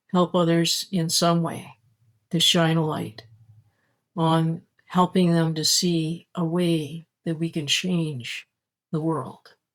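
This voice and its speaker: A woman speaks at a very slow pace with long, frequent pauses. Her fairly low voice has monotone, flat intonation. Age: 60s. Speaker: spirituality vlogger. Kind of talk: casual monologue. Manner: halting.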